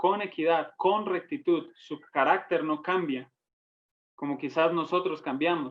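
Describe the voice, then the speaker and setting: The speaker talks at a fairly slow pace with a Santander Colombian accent. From Colombia, Santander. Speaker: Bible teacher. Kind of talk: Bible study teaching. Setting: online broadcast.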